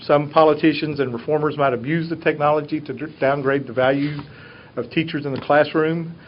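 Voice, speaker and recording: With a Southern US accent, a man talks at a fairly high pitch. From US South. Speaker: teacher. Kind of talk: presentation to a board.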